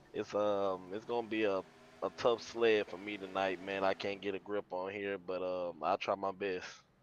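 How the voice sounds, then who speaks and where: A quiet man's voice, fairly low in pitch, in a flat monotone at a moderate pace. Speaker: sim racing driver. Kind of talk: casual interview. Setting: at home with sleeping baby.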